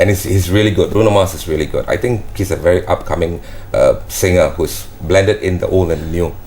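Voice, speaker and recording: A Malaysian accent over noticeable background noise. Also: man, fairly quick pace. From Malaysia, Johor Bahru. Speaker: professional entertainer and singer. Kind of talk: interview. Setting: studio. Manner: casual, relaxed.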